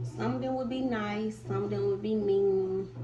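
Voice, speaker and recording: Audible room echo colors the recording. A woman talks over noticeable background noise. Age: 20s. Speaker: YouTuber. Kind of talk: storytime. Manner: casual, with filler words.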